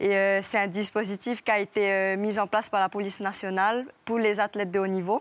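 A woman talks at a moderate pace and medium pitch, monotone and flat, with very even loudness, in a very clean recording with a silent background. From French Polynesia. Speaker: professional surfer. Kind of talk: TV interview.

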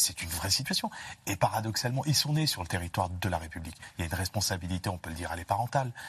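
A man speaks very fast in a very deep, low voice with lively intonation. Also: quiet background. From France, grew up in housing estates. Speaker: security expert, doctor of public law. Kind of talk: live TV panel discussion.

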